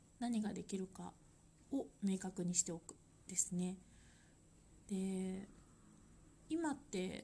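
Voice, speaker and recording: A woman with a medium pitch and a dark, mellow, somewhat breathy tone speaks at a very slow pace with long, frequent pauses. Her pitch varies in an ordinary way, while her loudness swings widely. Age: 30s. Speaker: life design consultant. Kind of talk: solo podcast monologue. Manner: halting, with many fillers.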